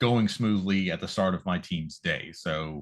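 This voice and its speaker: An American-accented man in an ordinary speaking voice talks at a fairly slow pace with ordinary pitch variation against a quiet background. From California. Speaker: school nutrition program director. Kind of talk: interview. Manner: polite, formal.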